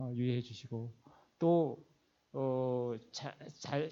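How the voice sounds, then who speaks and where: A man's voice with ordinary pitch variation. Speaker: finance executive and seminar lecturer. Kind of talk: lecture. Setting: church hall seminar. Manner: fast.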